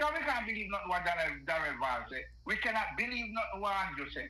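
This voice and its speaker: In a Jamaican accent, a man with a high voice projects loudly over noticeable background noise and audible room echo. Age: 60s. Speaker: caller. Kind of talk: political rant. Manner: animated.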